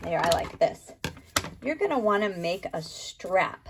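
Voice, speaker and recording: A woman speaks at a fairly slow pace in a fairly high pitch, with an ordinary speaking voice. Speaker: art teacher. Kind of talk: tutorial.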